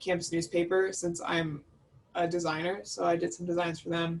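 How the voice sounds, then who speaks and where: A woman with an American accent has a plain, everyday voice, a fairly low pitch and fairly even intonation. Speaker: study abroad alumna, student designer. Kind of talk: casual panel talk. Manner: casual, many fillers.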